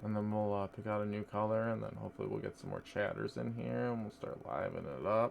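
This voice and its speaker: A man with a fairly low pitch talks at a fairly quick pace with ordinary pitch variation, over noticeable background noise. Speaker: makeup streamer. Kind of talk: live stream chat while doing makeup. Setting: live stream.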